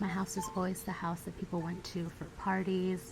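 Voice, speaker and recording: With music in the background, a woman with an American accent speaks at a fairly low pitch in a relaxed tone. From United States (Virginia). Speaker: self-taught surrealist artist. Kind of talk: ASMR soft-spoken talk to camera. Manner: soft-spoken, relaxed.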